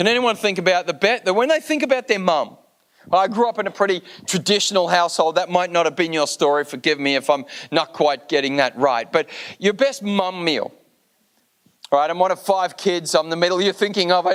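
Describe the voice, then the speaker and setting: A man with an Australian accent, high-pitched for a man, with lively intonation at a fairly quick pace. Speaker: guest pastor. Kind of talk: sermon. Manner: animated.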